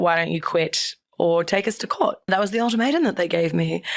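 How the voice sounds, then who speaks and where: With a strong Australian accent, a woman talks at a very fast pace. Her pitch is medium. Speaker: entrepreneur and former journalist. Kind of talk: podcast interview. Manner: animated.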